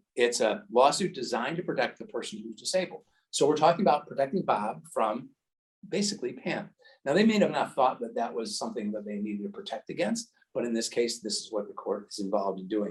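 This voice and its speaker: A man speaks very fast in a fairly high voice, a little breathy. His pitch swings very widely. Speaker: estate attorney. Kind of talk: educational seminar. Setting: seminar room with audience and Zoom.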